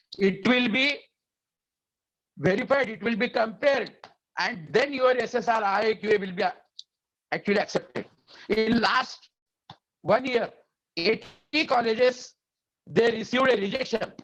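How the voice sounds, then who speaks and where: A man with an Indian accent speaks at a high pitch with ordinary pitch variation. His pace is moderate, with long, frequent pauses. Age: 70s. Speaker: education quality expert, webinar speaker. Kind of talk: lecture. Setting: webinar over internet. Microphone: unstable internet connection.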